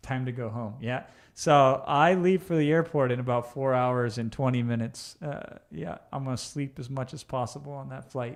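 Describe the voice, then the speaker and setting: Against a quiet background, a man speaks with big swings in loudness. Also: medium pitch for a man, ordinary pitch variation, moderate pace. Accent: Iowa. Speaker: online business coach. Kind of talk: live stream Q&A reading chat. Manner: casual, conversational.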